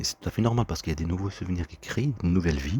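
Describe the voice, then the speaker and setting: This man's voice sits very deep and low, with vocal fry. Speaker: vlogger. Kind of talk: personal monologue. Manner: fast; halting.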